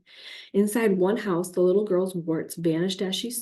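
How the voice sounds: The reading voice is natural. Its intonation is fairly even.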